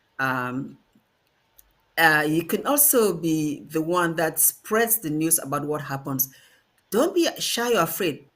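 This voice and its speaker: The speech comes at a very slow pace with long, frequent pauses, in a Cameroonian accent. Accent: Ambazonian Cameroonian accent, kept. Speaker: diaspora activist. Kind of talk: panel discussion.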